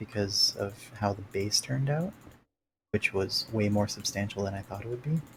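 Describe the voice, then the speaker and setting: Quiet and somewhat breathy, a man speaks at a fairly low pitch. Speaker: gaming streamer. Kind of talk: live gameplay commentary. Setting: home live stream at night. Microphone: noise gate cutting out audio.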